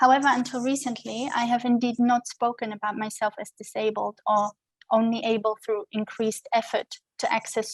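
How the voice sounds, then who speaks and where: With a German accent, a woman speaks at a fairly high pitch and fairly even intonation. Her sound is dry and close, with no echo. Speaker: scholar and activist giving a lecture. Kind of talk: lecture. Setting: video call. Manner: formal.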